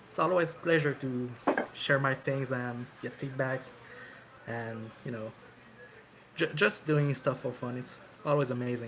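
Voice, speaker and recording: Fairly slow delivery broken by long, frequent pauses, with noticeable background noise. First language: not English. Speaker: chiptune musician. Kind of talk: casual chat.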